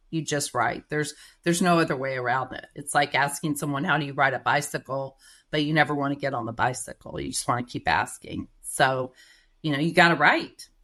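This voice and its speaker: A woman with a Texas accent speaks fairly quickly in a very deep, low voice with a bright, sharp tone. Her intonation stays fairly even, and the background is quiet. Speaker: writer and marketing manager, former journalist. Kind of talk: podcast interview.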